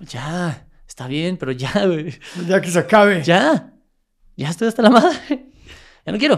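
A man's high-pitched voice in a Mexico City accent, fairly slow with long, frequent pauses, very wide pitch swings and big swings in loudness, on a very clean recording with a silent background. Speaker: world champion athlete and motivational speaker. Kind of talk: interview.

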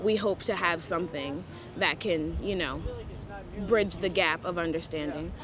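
Moderate pace, ordinary pitch variation and noticeable background noise. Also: woman, fairly low pitch for a woman. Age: 20s. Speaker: singer-songwriter. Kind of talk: casual chat. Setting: outdoors.

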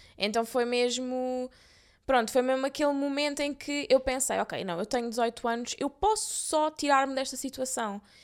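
Speaking at a moderate pace, a woman with a high pitch and ordinary pitch variation comes through in a very clean recording with a silent background. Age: 20s. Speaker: podcast co-host. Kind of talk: casual chat.

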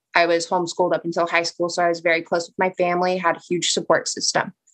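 At a very fast pace, a woman with an American accent and a fairly low pitch speaks in a dry, close sound with no echo. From Southern California (Simi Valley). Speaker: former college softball player. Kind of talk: personal testimony.

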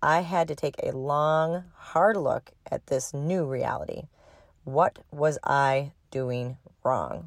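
A woman with an Upper Midwest accent speaks in a very deep, low pitch with ordinary pitch variation, on a very clean recording with a silent background. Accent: Upper Midwest (Minnesota). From Minnesota. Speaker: podcast host and horse owner. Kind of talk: personal story monologue.

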